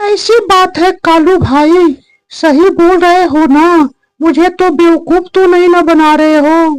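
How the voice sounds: A woman's cartoonish character voice, extremely high in pitch, at a fairly slow pace with very even loudness and fairly even intonation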